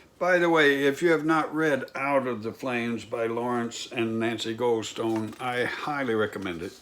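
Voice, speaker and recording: The speech moves at a moderate pace with hardly any pauses and ordinary pitch variation, over noticeable background noise and audible room echo. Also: man, medium pitch for a man. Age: 70s. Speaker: pastor. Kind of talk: sermon. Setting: home recording, remote.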